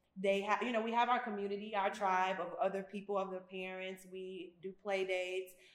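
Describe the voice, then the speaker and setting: A woman speaks at a moderate pace and a medium pitch, with noticeable background noise. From US Midwest/South (Memphis and Chicago). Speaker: spa owner. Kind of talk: casual chat. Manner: animated.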